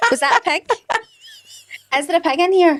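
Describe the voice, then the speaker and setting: With a Glaswegian accent, a woman talks at a fairly quick pace. Her pitch swings very widely. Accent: Glaswegian Scottish. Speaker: podcast co-host. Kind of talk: casual chat.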